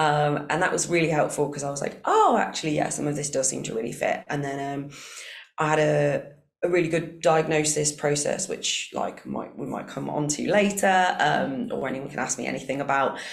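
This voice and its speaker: The room adds audible echo. A woman talks at a moderate pace. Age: 30s. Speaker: university sports manager. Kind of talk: public talk interview. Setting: live event room with audience. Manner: hesitant, many fillers.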